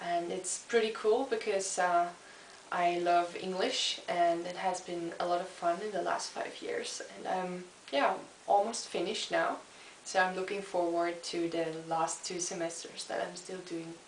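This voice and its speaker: Noticeable background noise and audible room echo surround the recording. A woman speaks at a fairly slow pace with fairly even intonation. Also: fairly low pitch for a woman. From eastern Germany (Chemnitz). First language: German. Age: 20s. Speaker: student. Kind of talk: video self-introduction. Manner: hesitant with fillers.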